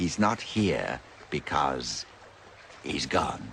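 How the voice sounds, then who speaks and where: A man puts on a character voice with a very deep, low pitch. Clear background noise runs underneath. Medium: fan dub. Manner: sly, cryptic.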